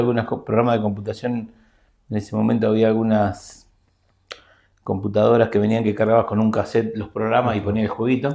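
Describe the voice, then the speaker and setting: A man at medium pitch, speaking at a very fast pace. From Argentina, Buenos Aires province. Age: 50s. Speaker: systems analyst and teacher. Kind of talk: interview. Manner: halting.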